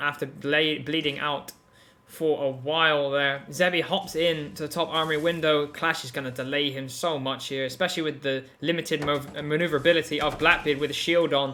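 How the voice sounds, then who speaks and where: This man talks at a fairly quick pace with a fairly high pitch and hardly any pauses. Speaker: esports caster. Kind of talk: live commentary. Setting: live stream. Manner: animated.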